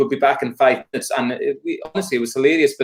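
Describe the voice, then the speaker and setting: A man speaks with a Hebridean accent. His pace is very fast. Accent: Scottish Hebridean. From Isle of Lewis, Scotland. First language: Scottish Gaelic. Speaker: folk singer and Gaelic tutor. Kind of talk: casual interview chat.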